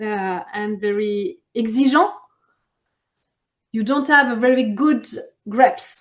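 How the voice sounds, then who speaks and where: With a French accent, a woman speaks at a high pitch with lively intonation. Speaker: champagne producer. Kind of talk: interview. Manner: halting.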